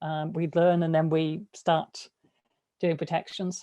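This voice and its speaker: Against a quiet background, a woman speaks at a fairly slow pace. Her voice has a dark, mellow tone and a fairly low pitch. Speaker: disinformation security researcher. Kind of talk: lecture. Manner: hesitant, many fillers.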